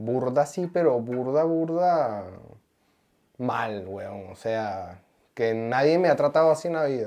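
Someone speaks at a very slow pace with a Venezuelan accent. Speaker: podcast co-host. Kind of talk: casual chat.

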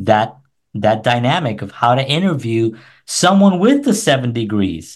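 A man with an American accent and an ordinary speaking voice, medium-pitched with lively intonation, at a fairly slow pace over a quiet background. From New York City. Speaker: musician and filmmaker. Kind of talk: casual chat.

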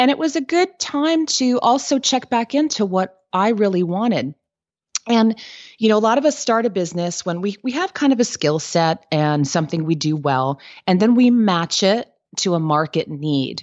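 Very wide pitch swings mark speech delivered at a moderate pace. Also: woman, medium pitch for a woman. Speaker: business coach and entrepreneur. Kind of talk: interview, casual professional chat.

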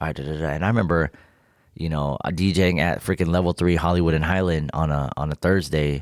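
Using an American accent, a man speaks fairly quickly in a very deep, low pitch with fairly even intonation. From Inland Empire, Southern California (Victorville). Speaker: DJ and music producer. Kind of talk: casual interview chat.

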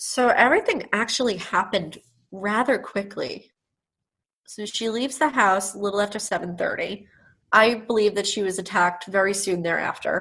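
A woman with an American accent, bright and sharp in tone, at medium pitch and a moderate pace, with ordinary pitch variation over a quiet background. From Long Island, New York. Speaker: lawyer. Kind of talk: interview.

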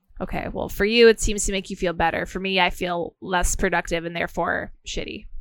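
A woman talks at a fairly quick pace with hardly any pauses. Her medium pitch stays in a monotone, flat intonation. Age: 30s. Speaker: podcast host and comedian. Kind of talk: casual chat; podcast outro.

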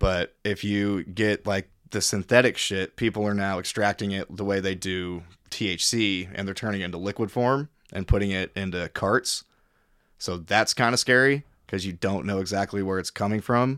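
Recorded very cleanly against a silent background, a man with a Midwestern American accent speaks in a fairly low voice, the sound dry and close with no echo. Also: fairly even intonation, moderate pace. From Missouri, Kansas City area. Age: 30s. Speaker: cook and musician. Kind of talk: casual chat. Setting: at host's home. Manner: loud, carrying voice.

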